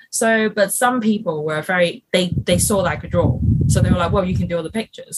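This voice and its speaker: A somewhat breathy woman talks at a fairly quick pace with ordinary pitch variation. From Hong Kong. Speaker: illustrator and animator. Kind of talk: casual chat. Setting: video call. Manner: hesitant, many fillers.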